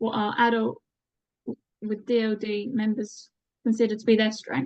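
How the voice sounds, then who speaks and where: A woman talks at a fairly slow pace. Her voice sits fairly high in pitch. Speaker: researcher presenting survey results. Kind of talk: presentation.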